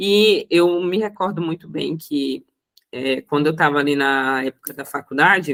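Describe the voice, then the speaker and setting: Spoken at a fairly slow pace with a strong Roraima accent, the voice shows ordinary pitch variation. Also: woman. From Brazil, Roraima. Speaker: accountant and mentor. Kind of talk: panel talk. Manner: hesitant, many fillers.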